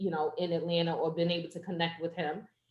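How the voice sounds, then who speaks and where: A woman speaks with an American accent. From New Jersey, Jersey City. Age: 40s. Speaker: poetry open mic host. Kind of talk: casual chat. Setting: video call.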